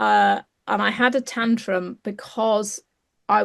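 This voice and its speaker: A woman with an English accent speaks in a flat monotone against a quiet background. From England. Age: 60s. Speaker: clinical psychologist. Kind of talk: interview. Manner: halting.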